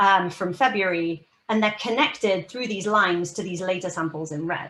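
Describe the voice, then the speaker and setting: Speaking at a moderate pace, a woman with a British accent has a bright, sharp tone. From United Kingdom. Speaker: research scientist. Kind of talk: keynote science talk. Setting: video call.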